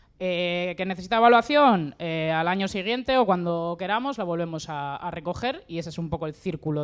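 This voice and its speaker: A woman with an unremarkable speaking voice, fairly low in pitch, lively in intonation, at a moderate pace against a quiet background. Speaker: member of an agroecological collective. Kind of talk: panel talk.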